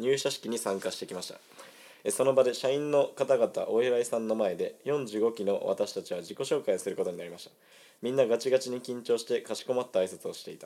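A man talks at a fairly quick pace. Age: 20s. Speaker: amateur radio host. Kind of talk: casual chat. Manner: animated.

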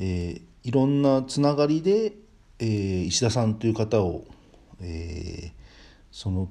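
The speaker has a dark, mellow tone and lively intonation. Delivery is fairly slow, with long, frequent pauses. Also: man, medium pitch for a man. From northern Kanto, Japan. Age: 40s. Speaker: podcast host, business owner. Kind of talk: personal monologue. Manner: polite, formal.

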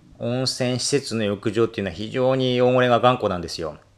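Recorded very cleanly against a silent background, a man at medium pitch speaks at a moderate pace with ordinary pitch variation. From Japan, Akita. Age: 40s. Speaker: detergent maker and cleaning expert. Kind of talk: solo podcast monologue. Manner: halting, many fillers.

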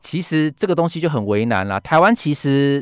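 In a very clean recording with a silent background and a dry, close sound with no echo, a man speaks at a moderate pace with very wide pitch swings. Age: 30s. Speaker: book editor. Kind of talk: radio interview. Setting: radio studio.

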